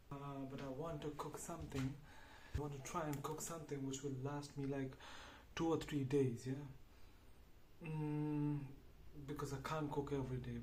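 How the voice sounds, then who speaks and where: Over noticeable background noise, a man speaks at a fairly slow pace in a fairly high pitch. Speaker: home cooking vlogger. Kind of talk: casual talk to camera. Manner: overacting, playful.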